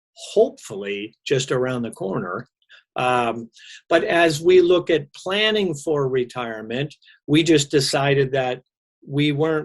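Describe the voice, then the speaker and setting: At a fairly slow pace, a man with an ordinary speaking voice talks in a fairly high pitch with lively intonation. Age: 60s. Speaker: mortgage professional. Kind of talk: casual chat.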